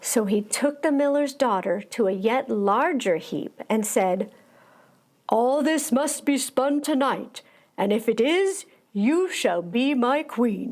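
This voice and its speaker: A woman talks very slowly in a high voice with lively intonation and very even loudness. The recording is very clean, with a silent background. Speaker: actor giving a dramatic storybook reading. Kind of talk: children's storybook reading, dramatic.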